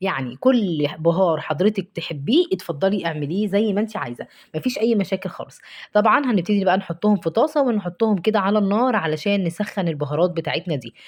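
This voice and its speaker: Someone with an Egyptian accent speaks at a fairly quick pace with lively intonation and hardly any pauses. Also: woman, medium pitch for a woman. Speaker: cooking vlogger. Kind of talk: cooking tutorial. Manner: warm, chatty.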